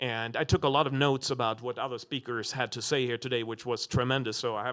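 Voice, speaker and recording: A man speaks with a non-native accent. The recording is very clean, with a silent background. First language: not English. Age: 40s. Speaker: business school dean. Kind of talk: panel discussion. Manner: halting, many fillers.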